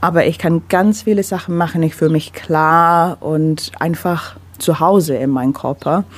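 At a fairly slow pace, a woman speaks with fairly low pitch and ordinary pitch variation. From London, England. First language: English (speaking German). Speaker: menstrual cycle coach. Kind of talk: radio interview. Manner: halting non-native German with fillers.

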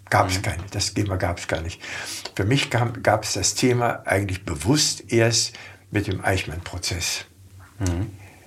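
Noticeable background noise accompanies speech at a fairly slow pace with ordinary pitch variation. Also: man, fairly low pitch for a man. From Germany, Hanover. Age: 70s. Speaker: former politician. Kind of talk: interview.

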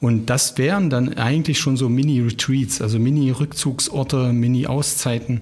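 A somewhat breathy voice with ordinary pitch variation at a moderate pace. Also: man. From Harz region, Germany (Ilsenburg). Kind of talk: casual conversation.

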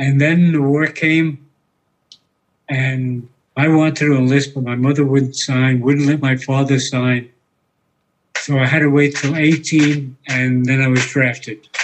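With a New York accent, a man speaks at a fairly slow pace in a fairly high, monotone, flat voice, leaving long, frequent pauses. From New York City. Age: 90s. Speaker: war veteran. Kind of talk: testimony.

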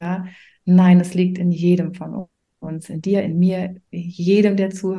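The voice has a dark, mellow tone, somewhat breathy and delivered very slowly in a monotone, flat intonation. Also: woman, medium pitch for a woman. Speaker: coach and mentor for self-employed mothers. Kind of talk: casual interview chat. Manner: frequent hesitations and fillers.

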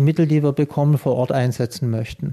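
A man speaks with a fairly high pitch and a dark, mellow tone. His intonation stays fairly even. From Swabia, Swabian Alb. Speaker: paediatric surgeon. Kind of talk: interview. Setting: in his office.

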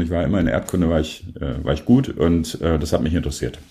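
A man's very deep, low voice, dark and mellow in tone with vocal fry, at a very fast pace. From northern Germany, near Bremen. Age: 50s. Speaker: photographer. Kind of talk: casual interview.

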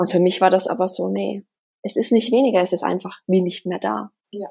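Vocal fry runs through a dark, mellow tone delivered at a fairly quick pace. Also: woman. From Germany, Bavaria (near Bamberg, Upper Franconia). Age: 30s. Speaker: spiritual medium. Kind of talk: interview, personal story.

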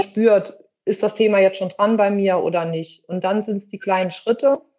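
A woman's medium-pitched voice, dark and mellow in tone, flat and monotone in intonation, at a moderate pace. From western Germany. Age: 50s. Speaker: theatre costume maker. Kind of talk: interview.

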